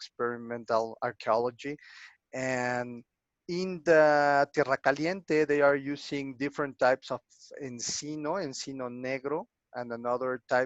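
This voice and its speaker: A man speaks with a Spanish accent and a fairly high pitch. His pitch variation is ordinary. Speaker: archaeologist. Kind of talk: lecture Q&A. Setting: online video lecture. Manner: halting, many fillers.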